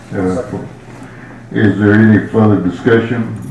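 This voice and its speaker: A man speaks at a fairly slow pace and fairly low pitch, with fairly even intonation. There is noticeable background noise and audible room echo. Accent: Texan. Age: 80s+. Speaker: county judge chairing meeting. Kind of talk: formal meeting procedure. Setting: county commissioners court meeting.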